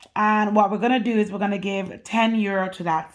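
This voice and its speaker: A woman speaks at a moderate pace and medium pitch over noticeable background noise. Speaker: budgeting vlogger. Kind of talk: tutorial. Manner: casual.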